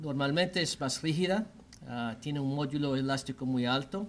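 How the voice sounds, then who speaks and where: With an American accent, the speaker's pitch varies in an ordinary way. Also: man. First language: English (speaking Spanish). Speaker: orthopedic surgeon. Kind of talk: medical lecture. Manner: halting, many fillers.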